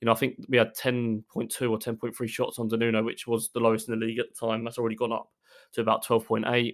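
A man with an Essex accent talks at a very fast pace, his medium-pitched voice held in a flat monotone. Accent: southern English (Essex). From Essex, England. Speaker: football writer. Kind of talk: casual chat.

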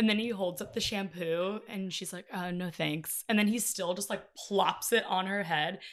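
A woman has an ordinary speaking voice at a medium pitch. She talks at a moderate pace with fairly even intonation. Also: very clean recording, silent background. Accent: American. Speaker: social media creator. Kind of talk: casual chat.

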